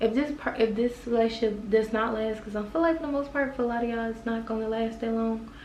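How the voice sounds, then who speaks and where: The room echo is audible, and background noise is noticeable. A woman speaks at a fairly high pitch. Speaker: tarot card reader. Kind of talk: tarot reading monologue. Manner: casual, conversational; loud.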